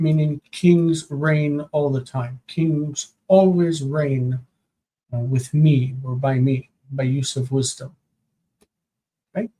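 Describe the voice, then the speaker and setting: A soft-spoken man with a dark, mellow, somewhat breathy tone, fairly high pitch, fairly even intonation, very slow delivery and long, frequent pauses. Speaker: Hebrew grammar teacher. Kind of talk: live-stream lesson, homework review. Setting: live stream with chat. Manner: soft-spoken, quiet.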